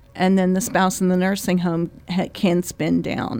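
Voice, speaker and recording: A woman with a normal speaking voice talks at a medium pitch with ordinary pitch variation, recorded very cleanly against a silent background. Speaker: attorney. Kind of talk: radio interview. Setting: studio.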